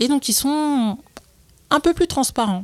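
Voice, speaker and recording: A woman at a fairly slow pace with lively intonation. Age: 20s. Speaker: entrepreneur. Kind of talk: casual chat. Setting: office. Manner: halting.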